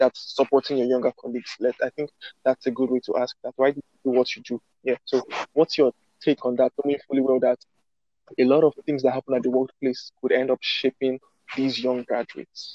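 The man's tone is dark and mellow. His intonation stays monotone and flat. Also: medium pitch for a man, fairly quick pace, dry, close sound with no echo. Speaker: co-host. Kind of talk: interview questions.

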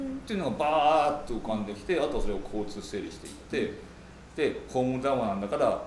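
A man speaks at a very fast pace with big swings in loudness. There is audible room echo and noticeable background noise. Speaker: novelist. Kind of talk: interview. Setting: cafe.

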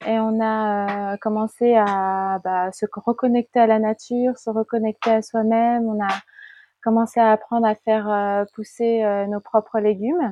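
Speaking at a fairly slow pace, a woman with a fairly high pitch keeps a monotone, flat intonation. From Paris region, France. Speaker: life coach. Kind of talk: interview.

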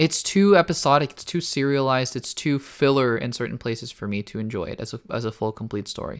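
On a very clean recording with a silent background, a man of medium pitch races along at a very fast pace with hardly any pauses, lively intonation and big swings in loudness. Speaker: YouTube movie reviewer and podcast host. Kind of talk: solo review podcast. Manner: casual with many fillers.

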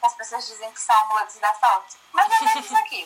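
Over noticeable background noise, a woman talks with a high voice. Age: 20s. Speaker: church youth leader. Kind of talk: casual chat.

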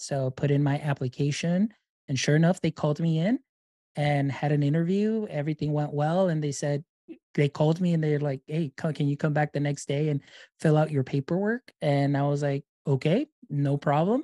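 With an American accent, a man speaks at a moderate pace in a fairly high pitch and a dark, mellow tone. His intonation is fairly even, and the sound is dry and close with no echo. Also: very clean recording, silent background. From Deep South Texas. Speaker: instructional technologist and podcaster. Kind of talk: interview.

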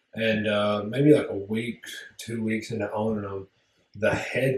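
This man mumbles at a moderate pace, his fairly low voice held in a flat monotone. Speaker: podcast co-host. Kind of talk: casual chat. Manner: mumbly.

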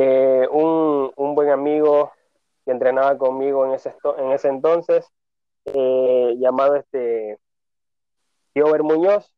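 A man with a fairly high pitch talks at a very slow pace, his intonation fairly even and his pauses long and frequent. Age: 30s. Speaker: bodybuilder and personal trainer. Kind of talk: interview. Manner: halting.

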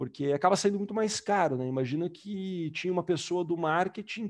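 A man with a high voice, speaking at a fairly quick pace, with ordinary pitch variation. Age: 20s. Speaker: enterprise sales executive. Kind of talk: casual interview.

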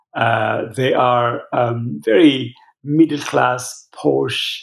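The pitch sits in the medium range. The speaker is a man. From Ethiopia. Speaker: pastor and charity director. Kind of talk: interview. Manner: halting, many fillers.

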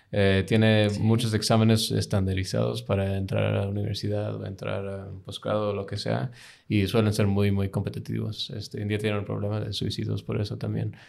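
At a fairly quick pace, a man talks with hardly any pauses. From United States, with childhood in UK. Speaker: graduate student, former diplomat. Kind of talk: casual interview. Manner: halting.

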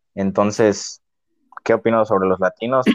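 A man speaks with a Mexican accent in a monotone, flat delivery. The sound is dry and close, with no echo. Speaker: podcast co-host. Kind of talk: casual chat. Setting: same room as co-host.

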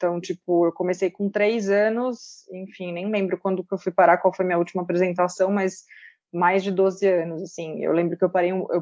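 Her voice is an ordinary speaking voice, medium in pitch for a woman, delivered at a moderate pace with a dry, close sound and no echo. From interior of São Paulo state, Brazil (Pedreira). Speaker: sports content creator. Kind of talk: casual chat.

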